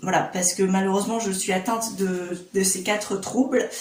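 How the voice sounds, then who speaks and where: A woman speaks in a monotone with flat intonation, with audible room echo and noticeable background noise. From Réunion. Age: 20s. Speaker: YouTuber. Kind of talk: casual vlog talk to camera. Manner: hesitant, many fillers.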